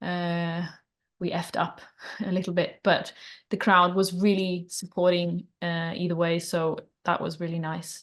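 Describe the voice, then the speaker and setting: With a Norwegian accent, a woman speaks fairly slowly at a fairly low pitch in a flat monotone against a quiet background. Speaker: band singer. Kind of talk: interview.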